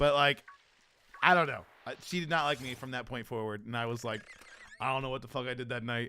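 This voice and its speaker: Speaking at a fairly quick pace in an animated tone, this voice breaks often into long pauses over noticeable background noise. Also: man, medium pitch for a man. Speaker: streamer. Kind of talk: casual chat.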